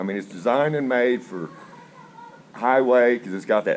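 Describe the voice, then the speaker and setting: Through noticeable background noise, a man speaks at a medium pitch with lively intonation. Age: 60s. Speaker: motorcycle rider. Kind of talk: interview.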